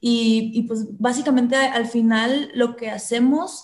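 A woman speaks with a Mexican accent and fairly even intonation. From Mexico, southern Veracruz (Coatzacoalcos). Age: 20s. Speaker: eco influencer. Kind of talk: interview. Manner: halting, many repeated words.

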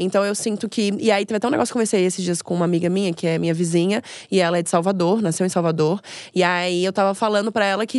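A woman speaks at a very fast pace, her medium pitch showing ordinary variation. The background is quiet. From Brazil, Florianópolis. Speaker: comedian. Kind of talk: casual chat.

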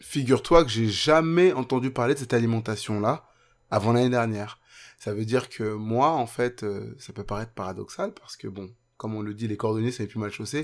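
The voice moves at a fairly quick pace with ordinary pitch variation and big swings in loudness, on a very clean recording with a silent background. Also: man, medium pitch for a man. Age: 30s. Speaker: podcast listener sharing weight-loss story. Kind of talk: testimony. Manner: halting.

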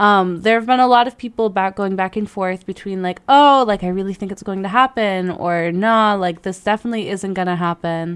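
A woman speaks with hardly any pauses at a medium pitch, with ordinary pitch variation, in an ordinary speaking voice. The recording is very clean, with a silent background. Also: fairly quick pace. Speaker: podcast co-host. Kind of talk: casual chat. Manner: casual, relaxed.

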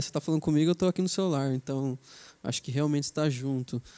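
With a dry, close sound and no echo, a man speaks at a fairly high pitch with a dark, mellow tone and ordinary pitch variation. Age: 20s. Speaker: software developer. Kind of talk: casual chat.

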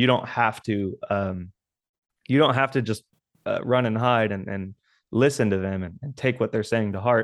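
A man with an American accent at a medium pitch and moderate pace, with ordinary pitch variation against a quiet background. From South Texas. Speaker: metal band drummer. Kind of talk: casual interview chat. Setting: remote call. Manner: halting, repeats words.

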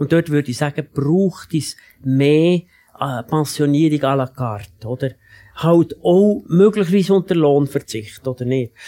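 Recorded with a dry, close sound and no echo, a man with a fairly high pitch and a dark, mellow tone talks at a fairly slow pace. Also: ordinary pitch variation. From Switzerland, canton of Bern. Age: 70s. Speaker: economist and former politician. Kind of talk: panel debate.

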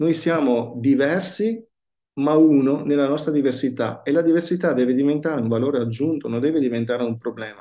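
A man talks at a fairly quick pace in a plain, everyday voice, fairly high in pitch with ordinary pitch variation. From Verona, northern Italy. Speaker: pastor. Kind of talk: casual interview.

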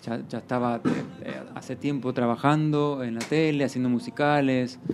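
Music plays in the background while a man speaks at a moderate speed. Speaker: actor and singer. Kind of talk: casual interview.

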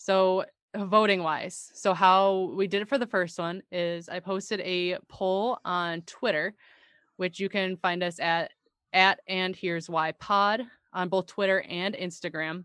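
A woman at medium pitch and a fairly slow pace, a plain, everyday voice, dry and close with no echo against a quiet background. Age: 30s. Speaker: podcast co-host. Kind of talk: casual chat.

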